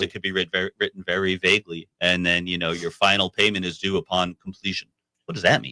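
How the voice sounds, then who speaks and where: Very fast and fairly even in intonation, a man speaks with a very deep, low pitch and a bright, sharp tone. The sound is dry and close, with no echo. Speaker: construction lawyer guest on a real estate radio show. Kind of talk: radio interview answer.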